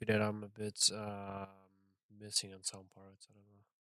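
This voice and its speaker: At a moderate pace, a man with a non-native accent speaks in a fairly low pitch. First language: not English. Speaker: trader streaming his trading session. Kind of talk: live trading commentary. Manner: casual, halting with fillers.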